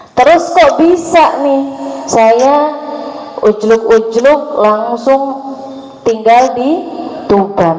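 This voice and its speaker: A woman speaks at a very slow pace with lively intonation. Noticeable background noise and audible room echo surround her voice. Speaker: Islamic preacher. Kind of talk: religious talk. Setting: mosque with audience. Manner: casual, joking.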